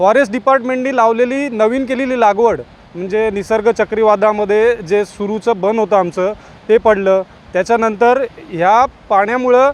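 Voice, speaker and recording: A high-pitched man with fairly even intonation. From Nagaon, Alibag, Raigad (Konkan). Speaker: villager. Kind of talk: vox pop interview.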